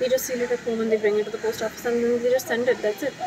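There is noticeable background noise. Over it, a woman talks at a very fast pace. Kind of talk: casual vlog chat. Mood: annoyed, ranting. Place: home room. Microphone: phone near.

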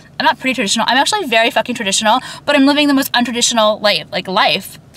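Speaking very fast in a high pitch, a woman has ordinary pitch variation, and the sound is dry with no echo. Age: 30s. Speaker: YouTuber. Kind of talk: casual rant to camera. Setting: in a car. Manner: rambling, filler-heavy. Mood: chatty, candid rant. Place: car. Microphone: phone near.

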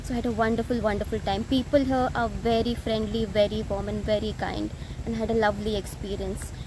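A woman speaks at a fairly quick pace. The sound is dry with no echo, and there is noticeable background noise. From India, Mumbai. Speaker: customer giving testimonial. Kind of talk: testimony. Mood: warm, pleased. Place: garden.

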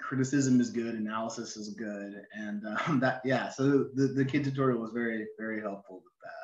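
A man with an American accent, hardly any pauses, big swings in loudness and fairly even intonation, with audible room echo and a quiet background. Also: moderate pace. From Oregon, US (Ashland); Oregon. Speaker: novelist. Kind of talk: interview. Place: home room. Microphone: video call.

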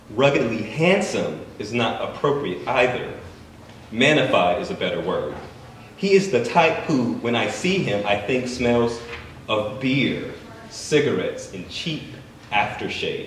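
With light background noise and audible room echo, a man talks at a fairly slow pace. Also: long, frequent pauses. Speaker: writer. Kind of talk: fiction reading. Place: shop.

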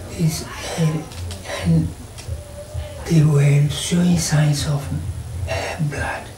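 Noticeable background noise sits behind a man speaking at a very slow pace. He uses long, frequent pauses and ordinary pitch variation. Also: fairly high pitch for a man. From Ghana. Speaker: retired police officer, eyewitness. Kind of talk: interview answer. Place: home room.

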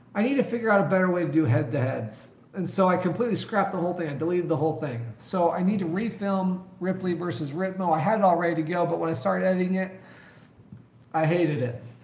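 A man's high voice at a very fast pace, with ordinary pitch variation, audible room echo, and noticeable background noise. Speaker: mountain bike youtuber. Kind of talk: live stream chat.

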